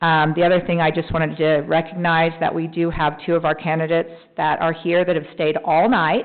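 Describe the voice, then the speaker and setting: At a fairly quick pace with hardly any pauses, a woman speaks in a fairly low voice with very even loudness and a monotone, flat intonation. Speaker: mayor. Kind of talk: city council meeting report. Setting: council chamber meeting. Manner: fast.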